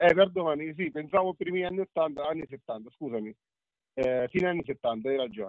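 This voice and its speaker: A man with a normal speaking voice talks in a fairly high pitch, his intonation lively. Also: moderate pace. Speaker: food guest, joins by phone. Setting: phone or video call.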